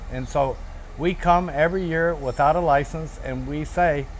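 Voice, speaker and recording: A man is heard speaking while noticeable noise runs in the background. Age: 70s. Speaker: activist, Vietnam veteran. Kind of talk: documentary interview. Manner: halting, repeats words.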